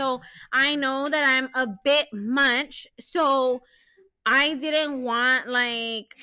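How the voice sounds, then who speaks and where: This woman's voice is high in pitch, with a bright, sharp tone. She speaks in a raised, projected voice. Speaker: podcast co-host. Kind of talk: casual chat. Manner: loud.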